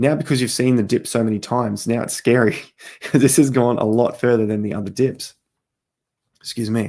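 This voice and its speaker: A man talks at a fairly quick pace in a medium-pitched voice with a dark, mellow tone. His intonation stays fairly even, broken by long, frequent pauses. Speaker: crypto market commentator. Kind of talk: market analysis talk.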